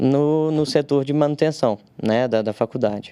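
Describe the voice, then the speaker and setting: The man's voice shows ordinary pitch variation. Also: dry, close sound with no echo. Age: 30s. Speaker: civil engineer, technical consultant. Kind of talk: podcast interview. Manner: halting, many fillers.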